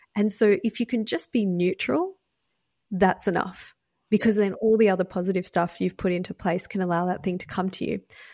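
A woman with an Australian accent at a fairly quick pace, on a very clean recording with a silent background. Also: dry, close sound with no echo. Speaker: psychic medium and spiritual teacher. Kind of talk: podcast interview.

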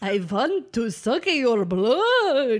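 A woman puts on a character voice in a Transylvanian accent, pitched fairly high. Her pitch swings very widely. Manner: playful, pretend menacing.

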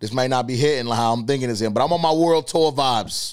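At a very fast pace, a man talks in a medium pitch against noticeable background noise. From Boston, US. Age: 20s. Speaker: podcast host. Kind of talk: casual monologue. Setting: studio. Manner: animated.

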